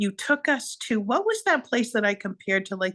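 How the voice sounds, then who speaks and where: Against a quiet background, a woman with a Boston accent speaks at a moderate pace with lively intonation. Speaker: podcast co-host. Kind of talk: casual chat. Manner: animated.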